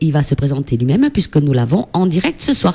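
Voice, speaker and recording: A woman with a southwestern French accent speaks in very wide pitch swings. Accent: southwestern French (Gers), pronounced. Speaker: radio host. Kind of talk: live radio interview.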